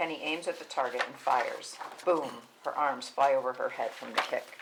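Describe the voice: A man talks at a moderate pace in a fairly bright tone with vocal fry and ordinary pitch variation. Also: medium pitch for a man.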